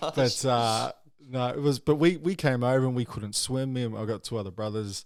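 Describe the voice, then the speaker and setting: A man talks at a fairly quick pace with a slight New Zealand accent. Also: medium pitch for a man, ordinary pitch variation. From New Zealand, then Gold Coast, Australia. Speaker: guest. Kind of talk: casual chat. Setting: studio.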